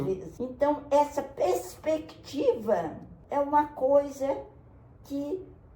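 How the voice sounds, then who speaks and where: Pitched high, a woman speaks very slowly with very wide pitch swings. Her tone is dark and mellow. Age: 80s+. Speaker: retired forensic doctor and pediatrician. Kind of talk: interview answer.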